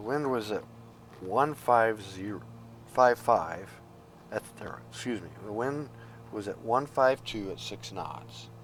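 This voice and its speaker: Soft-spoken, a man talks at a fairly slow pace with ordinary pitch variation. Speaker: flight simulator streamer. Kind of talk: casual commentary. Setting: at home, early morning.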